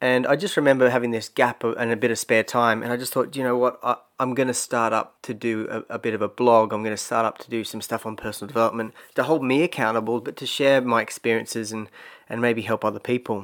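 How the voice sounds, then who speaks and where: A man with an Australian accent talks at a very fast pace, medium in pitch and fairly even in intonation, on a very clean recording with a silent background. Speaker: personal growth podcaster. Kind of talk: solo podcast monologue. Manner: casual, hesitant with repetitions.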